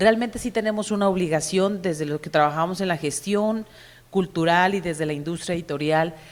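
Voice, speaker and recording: At a fairly quick pace, a woman speaks with fairly low pitch and ordinary pitch variation. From Mexico. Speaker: publishing executive and cultural manager. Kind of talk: conference panel talk. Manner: hesitant, with repeated fillers.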